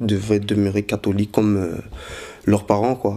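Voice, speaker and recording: A man's fairly low-pitched voice, dark and mellow in tone, at a moderate pace. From Belgium, Brussels. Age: 20s. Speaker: convert giving testimony. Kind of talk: testimony. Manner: halting, many fillers.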